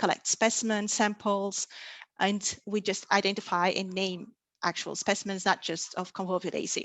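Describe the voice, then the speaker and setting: At a moderate pace, a woman with a Portuguese accent speaks at a medium pitch. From Portugal. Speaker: plant taxonomist. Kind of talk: lecture.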